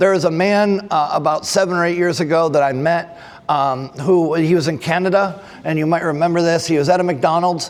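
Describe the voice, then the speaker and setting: Noticeable background noise and audible room echo surround a man with a Texan accent and a high pitch. He talks at a fairly quick pace with hardly any pauses and fairly even intonation. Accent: Texan American. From Texas. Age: 60s. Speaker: forensic trainer, former firefighter. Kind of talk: conference presentation. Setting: conference stage with audience.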